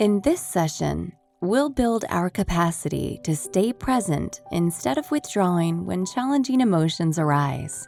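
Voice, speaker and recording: A woman's fairly low voice at a fairly slow pace, hardly any pauses, very wide pitch swings, and music in the background. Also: very even loudness. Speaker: meditation guide. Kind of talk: guided meditation.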